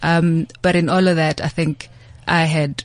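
A woman speaks with vocal fry at a moderate pace. Her intonation stays fairly even. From South Africa, rural KwaZulu-Natal. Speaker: investment executive. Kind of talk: interview. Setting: studio.

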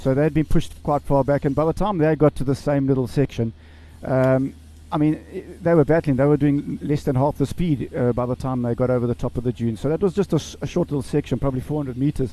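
A man speaks at a very fast pace. His fairly high voice has a dark, mellow tone. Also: ordinary pitch variation. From South Africa. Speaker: rally driver. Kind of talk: casual chat.

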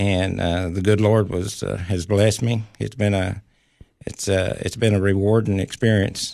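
A man talks in a very deep, low pitch at a moderate pace. His intonation is monotone and flat. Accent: Tennessee. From Tennessee, Clay County. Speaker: county mayor. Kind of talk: radio interview. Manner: halting.

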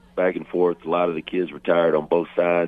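At a fairly quick pace, a man speaks in a very deep, low pitch. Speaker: high school football coach. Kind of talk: radio interview.

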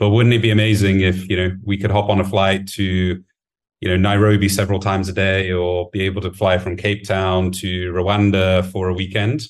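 Spoken at a moderate pace in a British accent, the intonation stays monotone and flat. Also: man, very deep, low pitch for a man, hardly any pauses. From UK. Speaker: management consultant. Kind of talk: interview.

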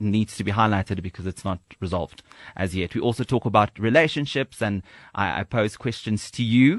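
A man's plain, everyday voice, fairly low in pitch with ordinary pitch variation, at a fairly quick pace, in a dry, close sound with no echo. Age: 20s. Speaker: radio presenter. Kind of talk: casual chat. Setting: studio.

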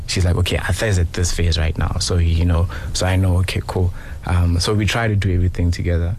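Over noticeable background noise, a man with a very deep, low pitch speaks at a fairly quick pace in a monotone, flat delivery at very even loudness. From Johannesburg, South Africa. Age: 30s. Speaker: talent manager. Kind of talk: radio interview. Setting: studio.

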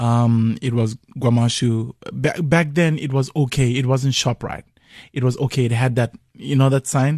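A man with a Zulu accent talks at a moderate pace in a medium pitch. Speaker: musician. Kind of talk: radio interview. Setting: radio studio.

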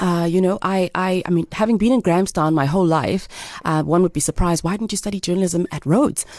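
Noticeable background noise sits behind a woman talking at a very fast pace. Her pitch is medium, with ordinary pitch variation. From South Africa, Eastern Cape (East London). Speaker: magazine editor. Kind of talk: radio interview.

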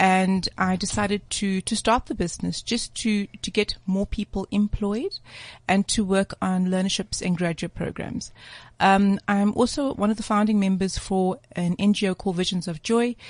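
Speaking at a moderate pace, a woman with medium pitch sounds somewhat breathy. Her intonation is fairly even, and the sound is dry and close with no echo. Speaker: guest, women's empowerment entrepreneur. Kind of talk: radio interview.

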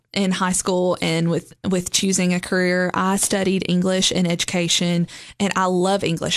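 A woman talks at a moderate pace with a Tennessee accent. Her pitch sits in the medium range. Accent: Southern US (Tennessee). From Middle Tennessee (Lebanon). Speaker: boutique owner. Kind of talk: interview.

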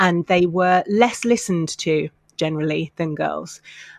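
A woman with a British accent and a fairly low pitch speaks with ordinary pitch variation, the sound dry and close with no echo against a quiet background. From UK. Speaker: mental health campaigner. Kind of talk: interview.

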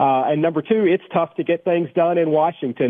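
Here a man speaks with a Tennessee accent. His pitch is fairly high and his pace fairly quick. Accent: Tennessee Southern. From Tennessee, Cookeville. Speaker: congressman. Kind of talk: radio interview. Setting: phone call.

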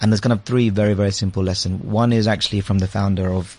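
A man's voice of fairly low pitch. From London, England. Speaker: advertising agency managing director. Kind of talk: casual interview. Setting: studio.

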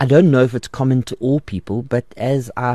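A man's dark, mellow tone at a medium pitch over a quiet background. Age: 40s. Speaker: radio host and pastor. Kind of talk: radio Bible Q and A show. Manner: casual with frequent fillers.

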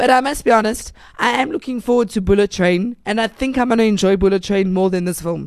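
At a very fast pace, a woman speaks with an animated tone, a fairly high pitch and ordinary pitch variation. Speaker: film review show co-host. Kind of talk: casual film review chat. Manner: animated, laughs often.

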